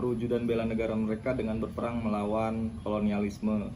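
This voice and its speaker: Fairly even intonation with audible room echo. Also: man. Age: 30s. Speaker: high school teacher. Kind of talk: interview answers.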